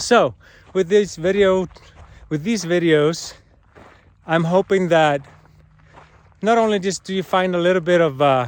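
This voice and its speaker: The speaker has a non-native accent and a fairly slow pace, with long, frequent pauses. Pitch variation is ordinary. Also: man, high pitch for a man. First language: not English. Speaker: cancer patient vlogger and healing arts teacher. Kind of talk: personal vlog monologue. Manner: halting, many fillers and repetitions.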